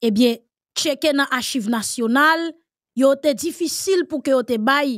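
A woman with a Haitian accent speaks very slowly at a high pitch with ordinary pitch variation, in a dry sound with no echo over a quiet background. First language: Haitian Creole (speaking French). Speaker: political commentator. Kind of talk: panel discussion. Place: studio.

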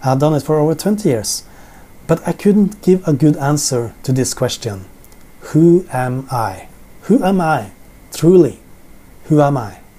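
In a Norwegian accent, a man speaks fairly slowly with long, frequent pauses, his somewhat breathy voice dark and mellow and his intonation lively. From Norway. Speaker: Bible teacher. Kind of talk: sermon. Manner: halting. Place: home room. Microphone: camera far.

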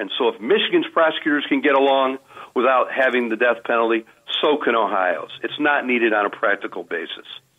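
A man talks at a moderate pace in an ordinary speaking voice. His pitch is medium. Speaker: retired federal prosecutor. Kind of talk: radio interview.

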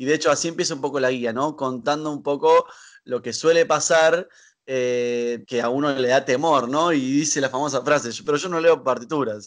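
The speaker talks with a Rioplatense accent at a moderate pace and with fairly even intonation. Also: man, fairly high pitch for a man. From Argentina, Buenos Aires. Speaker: choir director. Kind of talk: casual interview. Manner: hesitant with fillers.

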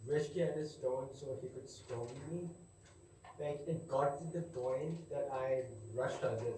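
Speech comes at a moderate pace. There is audible room echo and light background noise. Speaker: student. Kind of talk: testimony. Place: classroom. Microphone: camera far.

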